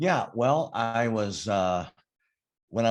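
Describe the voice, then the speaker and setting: Here a man speaks at a fairly slow pace with ordinary pitch variation. The background is quiet. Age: 60s. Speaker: business coach and CEO. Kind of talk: interview. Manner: halting, many fillers and restarts.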